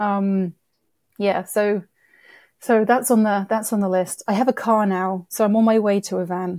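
A woman's medium-pitched, dark, mellow voice in a British accent, monotone and flat at a moderate pace, dry and close with no echo on a very clean recording with a silent background. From UK. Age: 30s. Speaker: wildlife documentary producer and director. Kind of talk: casual interview chat.

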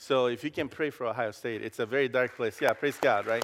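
Talking at a very fast pace, a man with a Costa Rican accent holds a medium pitch and fairly even intonation. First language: Spanish. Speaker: campus pastor. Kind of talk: sermon. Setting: church. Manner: halting.

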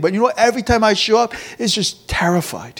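Ordinary pitch variation and a fairly quick pace from a male speaker. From rural Korea, then Virginia (US). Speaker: pastor. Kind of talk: sermon. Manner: fillers and repetitions, conversational.

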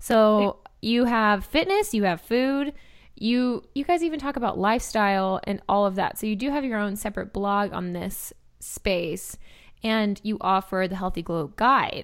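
On a very clean recording with a silent background, a woman speaks fairly slowly in an ordinary speaking voice, her fairly high pitch carried by lively intonation. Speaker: podcast host. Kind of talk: casual interview chat.

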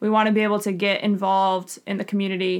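A woman with an American accent speaks at a medium pitch. Her intonation is monotone and flat. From New York. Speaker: physical therapist and practice manager. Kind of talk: casual chat.

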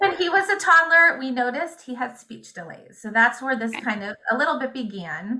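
A woman with an American accent uses a raised, projected voice at a high pitch, with hardly any pauses. Her pitch swings are very wide, and her loudness swings a lot. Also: moderate pace. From Indiana, US Midwest. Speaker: homeschooling mother. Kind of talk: interview.

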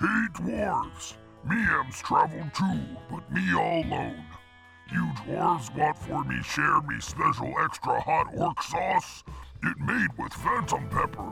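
A man speaks in a put-on character voice at a fairly slow pace. Clear music plays in the background. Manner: broken, gruff speech.

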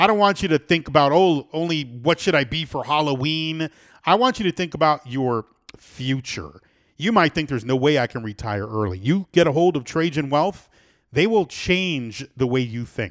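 With a plain, everyday voice and an American accent, a man speaks at a moderate pace with a fairly high pitch and lively intonation on a very clean recording with a silent background. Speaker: radio host. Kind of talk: radio talk show, casual chat. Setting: studio.

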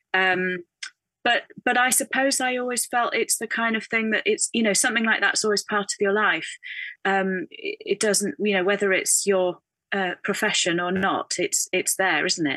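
A woman with a fairly high pitch and ordinary pitch variation speaks at a moderate pace with a northern English accent. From northern England. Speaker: textile artist. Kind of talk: casual interview. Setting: video call. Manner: thoughtful, hesitant with fillers.

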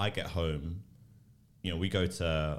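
Speaking with a London accent, a man has a very deep, low pitch. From South London, Tulse Hill. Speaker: church planter. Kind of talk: casual chat.

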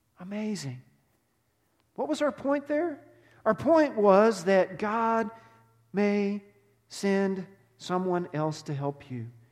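Here a man with a Texan accent speaks very slowly at a high pitch, taking long, frequent pauses. His pitch swings very widely. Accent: Texan (US Southern). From Texas. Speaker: pastor. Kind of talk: sermon. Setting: church.

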